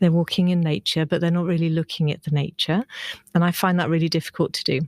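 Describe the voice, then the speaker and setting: A woman with a British accent speaks at a very fast pace, her fairly low voice held to fairly even intonation. The recording is very clean, with a silent background and a dry, close sound with no echo. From UK. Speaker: herbology and biology teacher. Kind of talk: casual chat.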